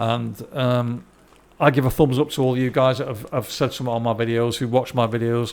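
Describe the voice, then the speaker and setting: A man talks at a fairly quick pace. His pitch is medium. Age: 60s. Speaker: gaming YouTuber. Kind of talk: casual gameplay commentary. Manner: halting, many repetitions and fillers.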